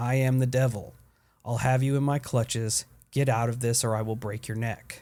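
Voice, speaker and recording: Putting on a gruff character voice, a man speaks at a medium pitch and moderate pace in a flat monotone, on a very clean recording with a silent background. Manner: menacing.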